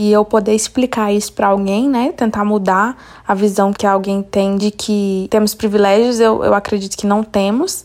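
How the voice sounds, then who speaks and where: Here a woman is speaking. Her pitch sits in the medium range. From Belo Horizonte, Brazil. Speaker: podcast host. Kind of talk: interview and personal story.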